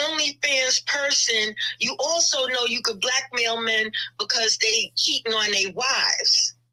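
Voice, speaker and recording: A woman uses a raised, projected voice with a high pitch and ordinary pitch variation. She speaks at a fairly slow pace, and her loudness stays very even. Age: 60s. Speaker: caller. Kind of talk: casual chat.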